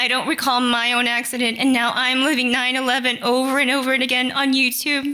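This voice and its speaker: A high-pitched woman's voice with an American accent, monotone and flat, at a fairly quick pace amid noticeable background noise. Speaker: nurse. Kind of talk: storytelling.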